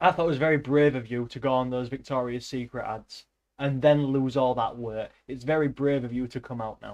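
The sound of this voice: An unforced reading voice with fairly even intonation, against a quiet background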